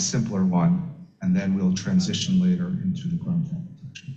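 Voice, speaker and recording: This man's high voice has a dark, mellow tone and very wide pitch swings, moving at a fairly slow pace with audible room echo. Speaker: electrical safety standards engineer. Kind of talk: technical lecture. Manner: soft-spoken. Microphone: too quiet, far from microphone.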